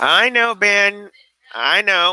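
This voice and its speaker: A man talks with lively intonation and a bright, sharp tone. The sound is dry and close, with no echo. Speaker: YouTube tech livestreamer. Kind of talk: casual livestream chat reading comments. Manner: halting, with fillers.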